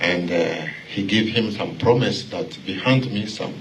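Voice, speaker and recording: In a Congolese accent, a man speaks very slowly at a fairly low pitch, with audible room echo and noticeable background noise. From Congo (Luba region). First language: Kiluba. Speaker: church member. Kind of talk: interview. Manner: halting.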